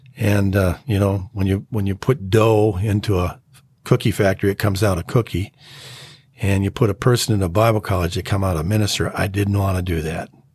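Fairly low-pitched and somewhat breathy, a man talks at a fairly quick pace with fairly even intonation and an American accent. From Minnesota. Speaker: pastor. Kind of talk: testimony. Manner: halting.

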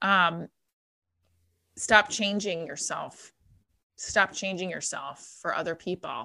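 A woman talks at a very slow pace with long, frequent pauses, vocal fry and a bright, sharp tone at medium pitch. Her loudness swings widely on a very clean recording with a silent background. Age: 30s. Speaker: divorced mother and college adjunct teacher. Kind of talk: casual interview. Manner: animated.

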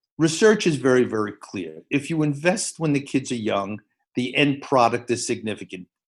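Lively intonation from a man at a medium pitch, moderate in pace, over a quiet background. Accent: New York. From New York City, the Bronx. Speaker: education professor. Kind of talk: casual interview. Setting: video call. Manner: animated.

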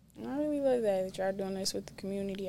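Here is a woman talking. Her pitch sits in the medium range. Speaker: podcast host. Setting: studio. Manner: loud, laughing.

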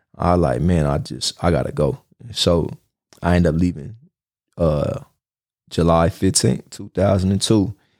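A man with an American accent at a very deep, low pitch with vocal fry, lively intonation, a fairly slow pace and long, frequent pauses. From Los Angeles, California. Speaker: podcast host. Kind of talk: casual monologue, personal storytelling. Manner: casual, conversational, slangy.

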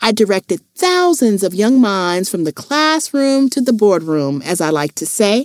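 Unforced reading voice only

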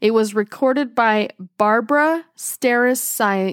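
A woman speaks at a fairly high pitch with ordinary pitch variation in a plain, everyday voice, on a very clean recording with a silent background. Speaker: podcast host. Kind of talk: casual chat.

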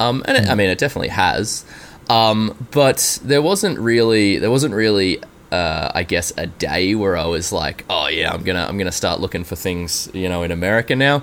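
Against noticeable background noise, a man with an Australian accent and fairly low pitch talks at a moderate pace with lively intonation. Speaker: software engineer. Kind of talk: interview.

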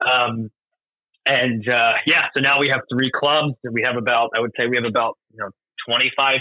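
A man with an American accent and a plain, everyday voice speaks at a moderate pace in a medium pitch with fairly even intonation. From US Northeast, Doylestown, Pennsylvania (earlier Florida). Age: 30s. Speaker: tennis coach and operations director. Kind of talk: podcast interview.

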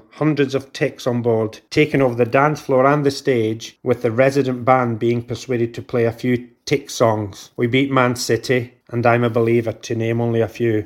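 The recording is very clean, with a silent background. A man with a Scottish accent speaks at a moderate pace in a medium pitch, his intonation fairly even. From Scotland, near Glasgow. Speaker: football fan, army veteran. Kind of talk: personal story read aloud.

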